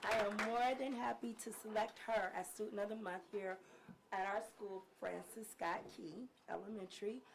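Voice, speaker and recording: Noticeable background noise sits behind a woman speaking at a medium pitch with fairly even intonation. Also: moderate pace. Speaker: fourth grade teacher. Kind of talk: award presentation.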